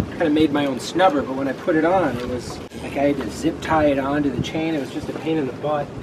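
Noticeable background noise under a male speaker at a moderate pace. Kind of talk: casual vlog chat. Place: waterside.

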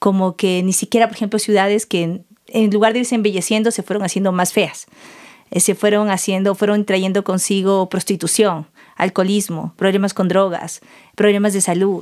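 On a very clean recording with a silent background, a woman speaks at a medium pitch and a moderate pace with monotone, flat intonation. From southern Ecuador, El Oro province (Santa Rosa). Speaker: cacao farmer and ceremonial chocolate maker. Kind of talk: casual interview conversation.

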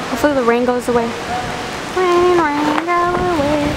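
At a moderate pace, someone talks over loud background noise. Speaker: vlogger. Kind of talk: casual vlog chat. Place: factory. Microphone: phone near.

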